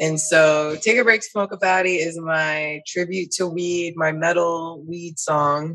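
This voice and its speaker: A woman with an American accent and an ordinary speaking voice, fairly low in pitch, at a fairly slow pace with fairly even intonation. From Panama, then army moves (US East Coast, Germany, Colorado). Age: 30s. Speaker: musician and artist. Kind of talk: interview.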